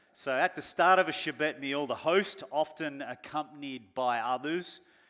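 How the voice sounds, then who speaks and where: With an Australian accent, a man speaks at a fairly slow pace in a fairly high pitch with a bright, sharp tone and ordinary pitch variation, in a very clean recording with a silent background. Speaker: pastor. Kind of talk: sermon.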